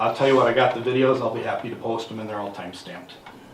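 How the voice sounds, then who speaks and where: Noticeable background noise and audible room echo accompany a man talking. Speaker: citizen investigator. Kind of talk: public comment at council meeting. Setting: city council meeting room. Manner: fast.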